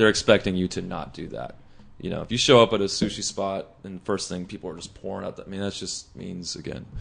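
A man with a Californian accent talks at a very fast pace and a fairly low pitch. His loudness swings widely, while his pitch variation is ordinary. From Los Angeles South Bay, California. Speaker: music producer and mastering engineer. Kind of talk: casual chat.

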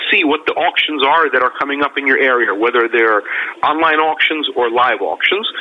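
A man speaks fairly quickly while noticeable background noise plays beneath him. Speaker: auction expert guest. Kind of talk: interview explaining advice.

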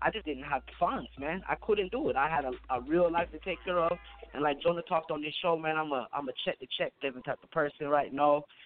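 Over noticeable background noise, a man talks very fast at a fairly high pitch with ordinary pitch variation. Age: 30s. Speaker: caller. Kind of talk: call-in radio chat. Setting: phone call.

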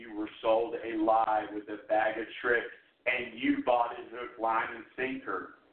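At a fairly slow pace, a man talks in a medium pitch with fairly even intonation. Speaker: radio host. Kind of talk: talk radio show on politics. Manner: passionate.

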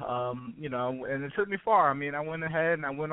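In a plain, everyday voice with an American accent, a man speaks at a fairly quick pace and fairly high pitch, with ordinary pitch variation. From Brooklyn, New York. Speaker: health and wellness expert. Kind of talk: casual interview.

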